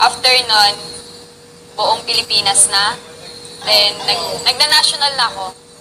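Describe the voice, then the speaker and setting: Over music in the background, a woman with a fairly high pitch speaks fairly slowly at very even loudness, with long, frequent pauses. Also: ordinary pitch variation. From Quezon province, Philippines. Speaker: reality show contestant, beauty queen and model. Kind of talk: casual storytelling. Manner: talkative.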